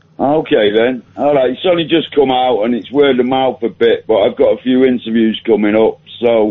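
This is an ordinary speaking voice at a moderate pace. Pitch varies in an ordinary way, with hardly any pauses. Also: man, medium pitch for a man. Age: 60s. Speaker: caller, author. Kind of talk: phone-in chat. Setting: phone call.

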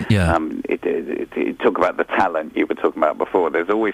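A man speaks over noticeable background noise. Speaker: radio presenter. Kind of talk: casual chat.

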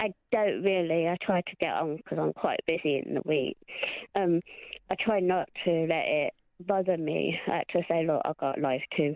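A woman's normal speaking voice, fairly low in pitch, with fairly even intonation and a moderate pace. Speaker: caller, psychic reader. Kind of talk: casual phone chat. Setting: phone call.

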